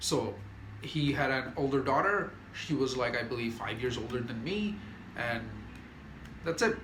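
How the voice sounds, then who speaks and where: A man with an animated tone at a moderate pace, long and frequent pauses, and audible room echo. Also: medium pitch for a man. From non-Western developing country. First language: not English (native language). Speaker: YouTuber. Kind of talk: casual monologue.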